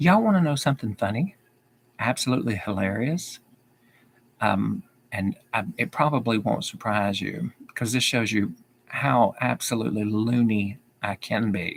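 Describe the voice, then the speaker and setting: A man with a Southern accent talks at a moderate pace and medium pitch, with lively intonation. He takes long, frequent pauses. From US South. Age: 50s. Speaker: YouTuber. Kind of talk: livestream Q&A. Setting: live video stream. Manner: repeats sentences.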